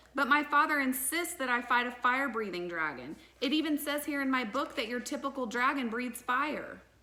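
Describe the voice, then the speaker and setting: A female-sounding, put-on character voice is squeaky and high in pitch. It moves at a fairly quick pace with hardly any pauses. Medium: read story.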